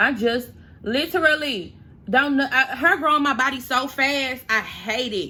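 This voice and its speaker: Speaking at a fairly slow pace in a raised, projected voice, a woman with an American accent has a high pitch, a bright, sharp tone, an animated delivery and ordinary pitch variation. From St. Louis, Missouri, US. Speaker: beauty YouTuber and makeup artist. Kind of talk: casual storytime vlog while doing makeup.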